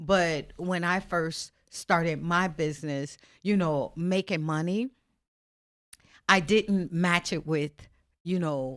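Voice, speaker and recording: Over a very clean recording with a silent background, a woman speaks at a very slow pace in a fairly low pitch, with fairly even intonation and long, frequent pauses. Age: 60s. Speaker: accountant and author. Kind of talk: casual podcast conversation.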